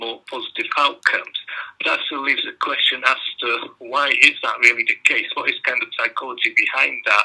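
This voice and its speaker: This man has a Belgian accent. He talks at a moderate pace. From Belgium. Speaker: education researcher. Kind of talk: interview.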